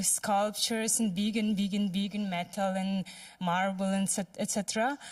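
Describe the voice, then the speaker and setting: A woman with a non-native accent speaks at a moderate pace and a medium pitch. Her voice is somewhat breathy, and her intonation is monotone and flat. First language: not English. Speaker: audience member, artist and sculptor. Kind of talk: audience Q&A comment. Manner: halting.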